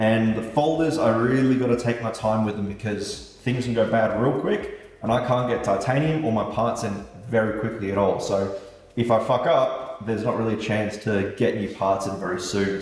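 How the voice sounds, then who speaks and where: A man's medium-pitched voice at a fairly quick pace, with fairly even intonation, audible room echo and noticeable background noise. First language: German. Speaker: knife maker. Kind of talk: casual vlog talk to camera. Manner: casual, conversational.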